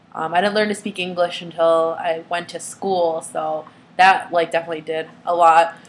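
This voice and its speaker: A woman's flat, monotone delivery at a fairly slow pace. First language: Vietnamese. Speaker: student vlogger. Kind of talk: personal video diary. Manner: halting, many fillers.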